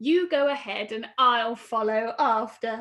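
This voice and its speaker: A woman's put-on character voice, fairly high in pitch. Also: fairly slow pace. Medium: read story.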